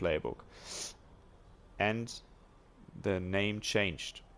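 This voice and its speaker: A man's very slow speech with a German accent and ordinary pitch variation, on a very clean recording with a silent background. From Germany. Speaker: video game tutorial maker. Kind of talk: tutorial. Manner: halting, many fillers.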